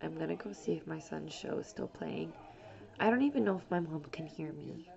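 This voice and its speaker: A woman's very deep, low voice comes through noticeable background noise. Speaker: vlogger and single mother. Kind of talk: personal vlog monologue. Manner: fast.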